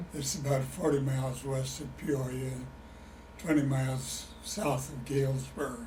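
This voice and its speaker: With a Midwestern American accent, a man speaks fairly slowly at a medium pitch and with fairly even intonation, amid audible room echo and noticeable background noise. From Illinois. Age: 80s+. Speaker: retired chemist, oral history interviewee. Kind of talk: oral history interview. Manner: halting.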